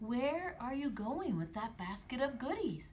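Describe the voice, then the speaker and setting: Against clear background noise, a female-sounding voice does a put-on character voice, high-pitched, at a moderate pace. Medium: read story. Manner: sly, falsely sweet.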